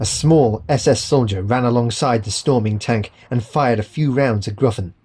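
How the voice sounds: This is a natural reading voice. Its pitch moves with ordinary variation.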